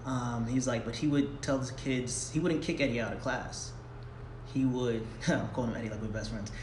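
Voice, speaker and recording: A man's medium-pitched voice with fairly even intonation, audible room echo and noticeable background noise. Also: moderate pace. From Long Island, New York. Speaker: actor and writer. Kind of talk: casual interview. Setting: theater.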